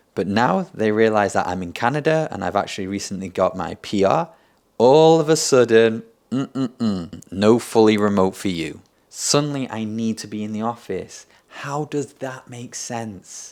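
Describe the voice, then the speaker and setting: Speaking with a British accent, a man uses lively intonation at a moderate pace and medium pitch in a very clean recording with a silent background. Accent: British-sounding. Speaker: content creator. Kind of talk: vlog storytelling.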